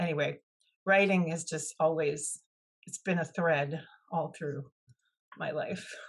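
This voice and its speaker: A woman speaks in a very deep, low pitch with a monotone, flat delivery. Her pace is fairly slow and somewhat breathy, with long, frequent pauses. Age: 60s. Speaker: author and former teacher. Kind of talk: interview.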